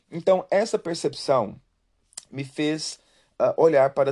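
Against a quiet background, a man with a fairly high pitch and a dark, mellow tone speaks at a very slow pace. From Brazil. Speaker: podcast host. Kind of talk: personal testimony monologue.

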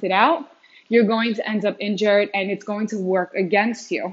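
Speaking at a moderate pace, a woman has an unremarkable speaking voice. Her pitch is fairly high, with ordinary variation. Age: 30s. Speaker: fitness podcast host. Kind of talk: solo podcast monologue. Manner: casual, filler-heavy.

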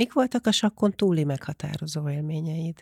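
A woman with a very deep, low pitch sounds somewhat breathy, recorded with a dry, close sound with no echo. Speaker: podcast host. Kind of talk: interview.

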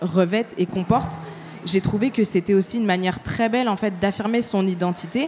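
Noticeable background noise sits behind a woman's medium-pitched voice. She talks at a fairly quick pace with ordinary pitch variation. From Tunisia, raised in France. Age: 20s. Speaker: journalist and podcaster. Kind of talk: panel discussion before live audience. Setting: stage with audience.

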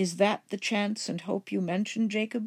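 A female-sounding voice puts on a character voice at medium pitch. She speaks at a moderate pace. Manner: uneasy, dismayed.

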